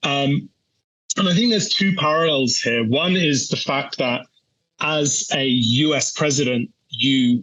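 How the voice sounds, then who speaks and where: In a British accent, the speaker talks at a fairly slow pace with very even loudness and lively intonation. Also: man, fairly high pitch for a man. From UK. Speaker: energy research analyst. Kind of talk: interview. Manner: halting.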